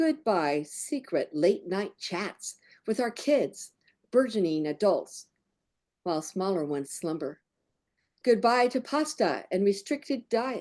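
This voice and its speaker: Against a quiet background, a woman with an American accent talks at a fairly slow pace. Her pitch swings very widely. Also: medium pitch for a woman. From California, San Francisco Bay Area. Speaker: poet. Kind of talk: poetry reading.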